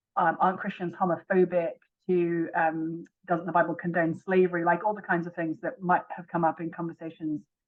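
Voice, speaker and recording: A woman with an English accent speaks fairly quickly in a fairly low voice. Her intonation is monotone and flat, while her loudness swings widely. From England. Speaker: author. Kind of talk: interview.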